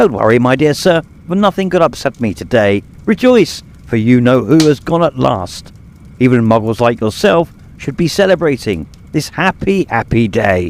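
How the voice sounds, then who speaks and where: Putting on a squeaky character voice, a man speaks at a moderate pace and medium pitch with very wide pitch swings. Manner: joyful, gleeful.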